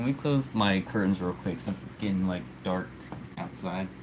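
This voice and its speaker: A man speaks with an American accent at a moderate pace. His fairly low voice makes very wide pitch swings. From United States. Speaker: live streamer. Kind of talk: casual live stream chat. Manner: casual, hesitant with fillers and repeats.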